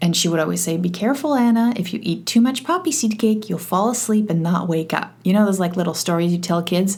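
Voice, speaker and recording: Lively intonation runs through a woman's medium-pitched, somewhat breathy voice. She speaks with hardly any pauses. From Poland, moved to Canada at eleven. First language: Polish. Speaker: podcast host, e-learning consultant. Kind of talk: solo podcast monologue. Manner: casual, with many fillers and restarts.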